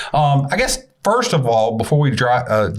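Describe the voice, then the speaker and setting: The speaker talks at a fairly quick pace with a slight Southern US accent. Pitch varies in an ordinary way, and the room echo is audible. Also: man. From US South. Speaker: podcast host. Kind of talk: casual interview.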